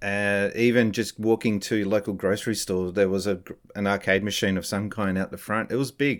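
Flat and monotone, this Australian-accented voice moves at a fairly quick pace on a very clean recording with a silent background. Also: man, fairly low pitch for a man. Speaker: former games company employee and streamer. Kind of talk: casual interview chat.

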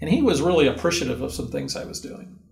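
Audible echo from the room follows this man. He speaks with an American accent. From US West Coast (Southern California). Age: 60s. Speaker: university career center director. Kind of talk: interview. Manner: animated.

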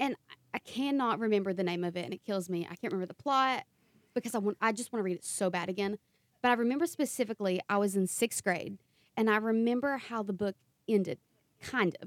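At a very fast pace, a woman speaks at medium pitch with ordinary pitch variation and big swings in loudness, in a dry, close sound with no echo. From Eastern Kentucky. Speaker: podcast co-host and author. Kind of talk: casual interview chat, being interviewed.

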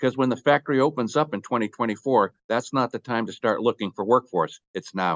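A man with an unremarkable speaking voice talks at a fairly quick pace in a medium pitch, with ordinary pitch variation and hardly any pauses. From Boston, US Northeast. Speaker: company executive. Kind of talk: interview.

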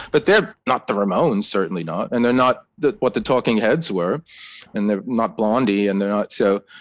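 A man with an American accent speaks at a moderate pace in a medium-pitched voice, an unremarkable speaking voice with lively intonation. The sound is dry and close, with no echo. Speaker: author. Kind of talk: interview.

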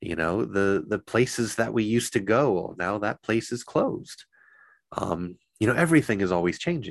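With lively intonation and fairly low pitch, a man speaks at a moderate pace in a very clean recording with a silent background. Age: 40s. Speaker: Buddhist priest. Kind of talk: dharma talk. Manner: halting.

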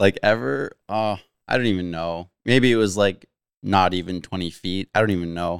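A man with a western Canadian accent, very deep and low in pitch, at a moderate pace with ordinary pitch variation. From Abbotsford, British Columbia, Canada. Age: 30s. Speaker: mountain bike YouTuber. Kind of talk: casual chat.

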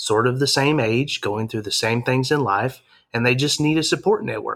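A man with an Arkansas accent, medium-pitched, with ordinary pitch variation, on a very clean recording against a silent background. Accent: Southern US (Arkansas). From Arkansas, Harrison. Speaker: campus ministry leader. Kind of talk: interview.

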